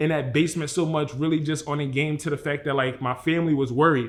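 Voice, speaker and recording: A man talks at a very fast pace with a fairly high pitch. His intonation is monotone and flat. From Philadelphia, US. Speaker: vlogger. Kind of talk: personal vlog monologue.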